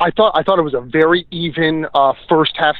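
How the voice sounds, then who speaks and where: This man has a New Jersey accent and a fairly high pitch. His intonation is fairly even. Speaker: soccer journalist. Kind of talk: interview.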